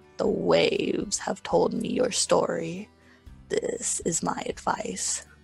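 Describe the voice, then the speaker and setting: A man's put-on character voice in a solemn tone, very slow pace, faint music in the background. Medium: read story. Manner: solemn, knowing.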